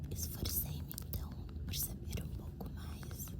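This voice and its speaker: A calm, whispered voice comes through over noticeable background noise. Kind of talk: ASMR story reading. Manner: soft-spoken, calm.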